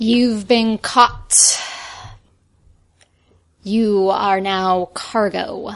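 A female-sounding voice at medium pitch performs a put-on character voice. It moves at a very slow pace with long, frequent pauses. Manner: menacing, gloating.

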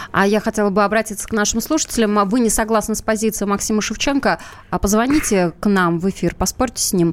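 Speaking at a very fast pace, a woman with a fairly high pitch keeps her loudness very even and her pitch variation ordinary. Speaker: radio show co-host. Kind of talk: live talk show, political discussion.

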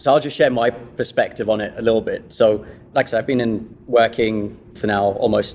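In a British accent, a man speaks at medium pitch with fairly even intonation. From Kenya. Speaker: corporate employee acting as guest host. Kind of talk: panel interview.

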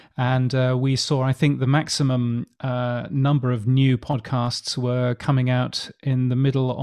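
A man with a British accent speaks at a fairly slow pace in a dark, mellow, medium-pitched tone over a quiet background. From England. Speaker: podcast industry newsletter editor. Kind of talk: interview.

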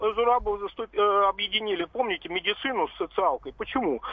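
Fairly quick male speech, high in pitch, with ordinary pitch variation. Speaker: caller. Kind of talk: radio call-in. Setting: phone call. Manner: halting.

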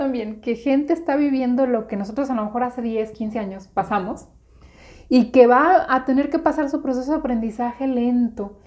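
Fairly even intonation at a fairly quick pace. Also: woman. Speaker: podcast co-host, business coach. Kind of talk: casual chat.

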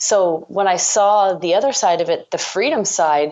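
A woman with a Canadian accent, a plain, everyday voice and fairly even intonation. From Ontario, Canada. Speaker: entrepreneur, startup co-founder. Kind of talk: interview.

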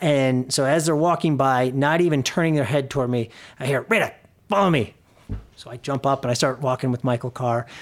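A man with an American accent speaks in a plain, everyday voice at a medium pitch and a fairly quick pace. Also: ordinary pitch variation. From US Midwest, Chicago suburbs. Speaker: real estate company president. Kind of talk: interview. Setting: office.

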